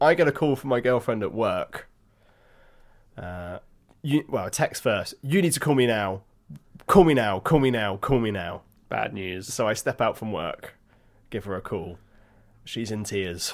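With a southern English accent, a man talks at a fairly slow pace with long, frequent pauses in a very clean recording with a silent background. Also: medium pitch for a man, lively intonation. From England (Hampshire). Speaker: podcast co-host, wine expert. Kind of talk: casual chat.

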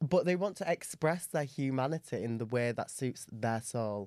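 A man in an English accent with lively intonation. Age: 20s. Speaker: podcast co-host. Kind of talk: casual chat.

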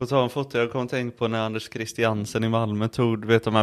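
Flat and monotone in intonation, a man talks at a fairly quick pace. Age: 20s. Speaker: podcast co-host. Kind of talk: casual chat.

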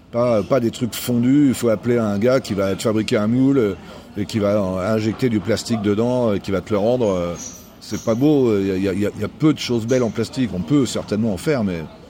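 A man at medium pitch and a moderate pace, with ordinary pitch variation and noticeable background noise. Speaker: jazz musician. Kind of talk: casual interview. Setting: brasserie. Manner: hesitant, repeats words.

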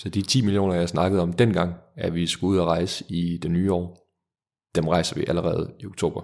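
This man's voice is very deep and low. He keeps a moderate pace and fairly even intonation. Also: very clean recording, silent background. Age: 20s. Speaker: startup founder. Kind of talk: interview.

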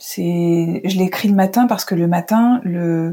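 A woman of medium pitch speaks in a somewhat breathy voice. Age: 40s. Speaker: journalist. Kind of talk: interview conversation. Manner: halting, many hesitations.

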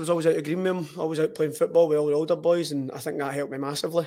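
A man speaks very fast with a Lanarkshire accent. His fairly high voice keeps a fairly even intonation. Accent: Scottish (Lanarkshire). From Scotland, Hamilton. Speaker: footballer. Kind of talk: casual chat. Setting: studio.

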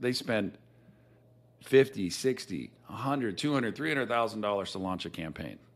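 A man speaks at a fairly quick pace. His tone is animated, with vocal fry. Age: 40s. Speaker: business founder. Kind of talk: casual chat.

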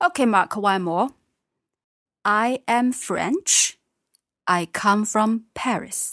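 Speaking very slowly with long, frequent pauses, a woman with a Chinese accent keeps a fairly high pitch and very even loudness in a dry, close recording with no echo, very clean and set against a silent background. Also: ordinary pitch variation. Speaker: Chinese language teacher. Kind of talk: language lesson.

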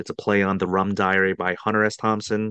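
In an American accent, a man speaks at a moderate pace with a fairly low pitch and monotone, flat intonation. The sound is dry and close with no echo, against a quiet background. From Washington DC area. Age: 40s. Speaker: trading card content creator. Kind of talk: casual chat.

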